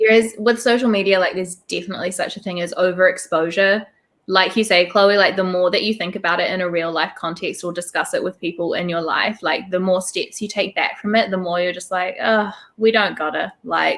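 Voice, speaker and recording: A woman with a New Zealand accent, medium pitch, fairly even intonation and a fairly quick pace. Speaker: booktuber guest. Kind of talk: casual chat. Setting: livestream.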